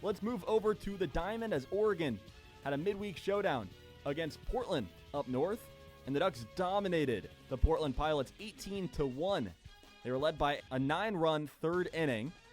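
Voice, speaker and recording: Music plays in the background as a man talks at a moderate pace. His voice is fairly high, with lively intonation. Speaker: sports broadcaster, radio play-by-play announcer. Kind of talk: sports desk news update.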